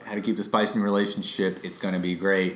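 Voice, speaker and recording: In a raspy, put-on character voice, a man speaks very fast at a fairly low pitch with monotone, flat intonation, against clear background noise. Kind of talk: deadpan, mock-bored. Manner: flat and monotone.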